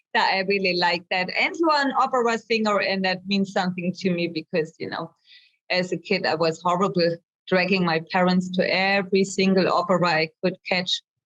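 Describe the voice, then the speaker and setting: Here a woman talks with a German accent. Her pitch is medium and her pace fairly quick. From Germany, Hamburg. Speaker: visual artist. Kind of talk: interview.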